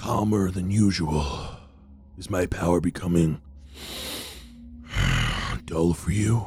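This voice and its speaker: Quiet and at a fairly slow pace, a man in a put-on character voice speaks with a very deep, low pitch and long, frequent pauses over clear background noise. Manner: hushed, taunting.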